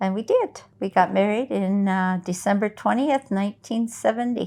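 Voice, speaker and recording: A woman with an American accent, dark, mellow tone, medium pitch, fairly even intonation, and moderate pace, over a quiet background. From Oregon. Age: 70s. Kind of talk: testimony interview.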